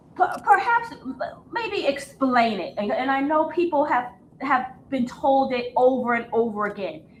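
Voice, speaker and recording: A woman speaks fairly slowly in a high voice with lively intonation. Background noise is noticeable. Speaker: podcast host. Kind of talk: interview question.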